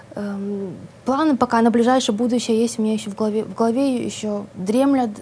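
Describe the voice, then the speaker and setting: Light background noise runs under a woman's voice. She talks at a fairly quick pace with fairly even intonation. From Odesa, Ukraine. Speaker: writer. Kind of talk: interview. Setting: studio. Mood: relaxed, smiling. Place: studio. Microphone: lapel.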